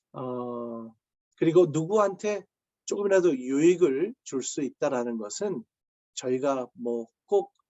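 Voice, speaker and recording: Here a man speaks very slowly, his pitch fairly high. His intonation is lively. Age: 60s. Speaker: pastor. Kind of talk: sermon. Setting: video call. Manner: halting, many fillers.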